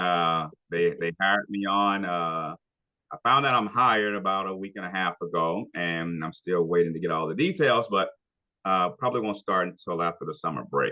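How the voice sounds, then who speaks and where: Speaking at a moderate pace, a man with a very deep, low pitch talks with an American accent. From Shreveport, Louisiana, USA. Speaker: chef and culinary instructor. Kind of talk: interview answer.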